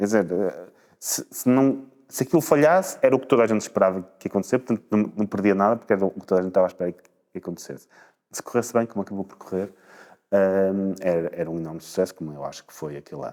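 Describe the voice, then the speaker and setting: A man's fairly low, dark and mellow voice moves at a very fast pace. His loudness swings widely, though his pitch varies in an ordinary way. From northern Portugal, Espinho. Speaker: politician, former party leader. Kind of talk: interview. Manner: halting, with repetitions.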